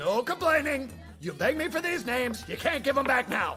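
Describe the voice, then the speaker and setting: A man's cartoonish character voice, raised and projected, at a fairly quick pace over clear music in the background. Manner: brusque, impatient.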